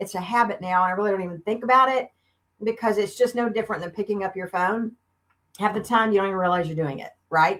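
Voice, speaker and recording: In a Southern US accent, a woman talks at a very fast pace with an animated tone, medium pitch and ordinary pitch variation. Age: 50s. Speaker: beauty consultant. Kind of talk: live stream sales demo. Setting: live video stream.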